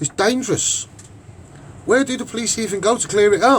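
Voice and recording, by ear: A high-pitched man with a Liverpool accent, at a moderate pace with ordinary pitch variation. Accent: Liverpool Scouse.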